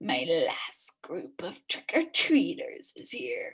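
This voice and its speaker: Someone in a put-on character voice speaks at an extremely high pitch and a very slow pace. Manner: scary.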